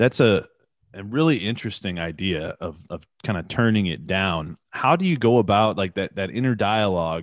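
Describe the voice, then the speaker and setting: At a moderate pace, a man with a fairly low pitch talks with lively intonation. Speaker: podcast host. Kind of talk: interview.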